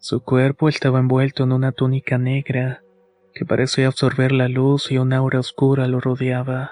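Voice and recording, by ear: A passage is read aloud. The reader's voice sounds natural.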